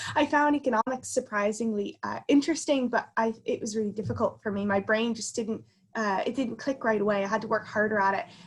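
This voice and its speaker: A woman with an American accent, fairly high-pitched and somewhat breathy, at a very fast pace with hardly any pauses and ordinary pitch variation. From US, Connecticut. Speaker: consultant. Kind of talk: interview.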